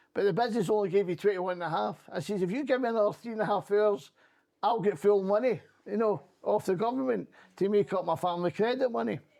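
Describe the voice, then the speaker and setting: Speaking very fast with a Scottish accent, a man has a high pitch. His pitch variation is ordinary. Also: quiet background. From Scotland. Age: 60s. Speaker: former politician and trade union rep. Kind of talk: interview conversation.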